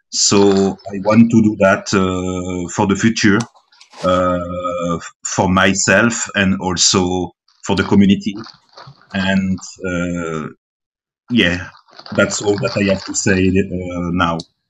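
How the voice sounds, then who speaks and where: With a non-native accent, a man speaks in a very deep, low pitch at a very slow pace, his intonation monotone and flat and his speech broken by long, frequent pauses. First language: French. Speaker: blockchain startup founder. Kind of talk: online community meeting. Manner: halting, many fillers.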